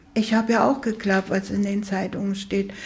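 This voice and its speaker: Monotone, flat intonation with vocal fry at a moderate pace. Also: woman. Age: 80s+. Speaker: pensioner. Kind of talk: interview testimony.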